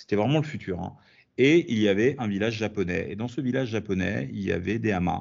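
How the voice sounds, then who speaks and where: This man has an unremarkable speaking voice, pitched fairly low. His intonation is lively. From France. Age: 40s. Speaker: comic book author. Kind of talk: interview.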